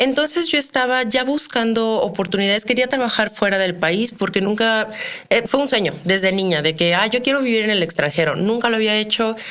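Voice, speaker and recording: A woman with a fairly high pitch talks at a fairly quick pace with lively intonation, amid noticeable background noise. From Mexico, Querétaro. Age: 30s. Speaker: criminologist. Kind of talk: interview.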